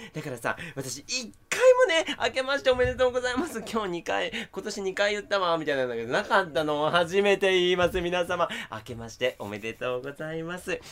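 Animated and high-pitched, a man talks at a fairly quick pace with hardly any pauses, very wide pitch swings and big swings in loudness, over noticeable background noise. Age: 20s. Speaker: TV announcer. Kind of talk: casual chat.

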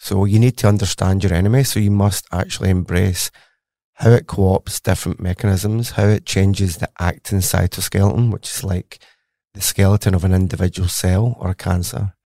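A man with a Glasgow accent, fairly low in pitch, dark and mellow in tone, fairly quick in pace, with fairly even intonation. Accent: Scottish (Glaswegian). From Glasgow, Scotland. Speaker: cancer researcher, professor. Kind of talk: interview, explanatory conversation.

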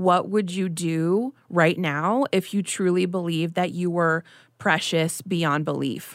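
A woman speaks in a plain, everyday voice, fairly low in pitch, at a moderate pace with fairly even intonation. The recording is very clean, with a silent background. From US, child of Mexican immigrants. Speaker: writer and body image activist. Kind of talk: casual chat.

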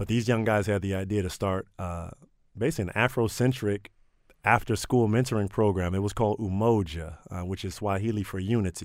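A plain, everyday voice from a man with an American accent, fairly low in pitch, fairly quick and fairly even in intonation, on a very clean recording with a silent background. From Maryland, Prince George's County. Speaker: nonprofit director. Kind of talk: radio interview.

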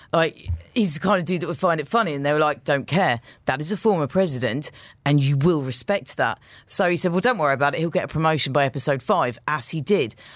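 A man talks at a very fast pace in a fairly high pitch. His pitch variation is ordinary, and the recording is very clean with a silent background. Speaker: radio breakfast show co-host. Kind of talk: casual chat. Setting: radio studio.

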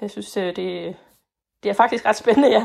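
A woman talks on a very clean recording where the background is silent. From Denmark, Fænø. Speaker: voter. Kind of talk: interview. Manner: hesitant.

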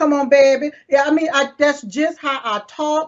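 A high-pitched woman's voice in a Southern accent at a fairly slow pace. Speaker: online show host. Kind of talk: casual interview.

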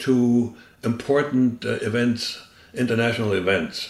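The speaker talks at a fairly slow pace in a German accent. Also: man. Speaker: former spy. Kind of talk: interview.

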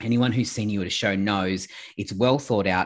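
Over a quiet background, a man with an Australian accent speaks at fairly low pitch with ordinary pitch variation. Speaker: podcast host. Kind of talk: casual interview.

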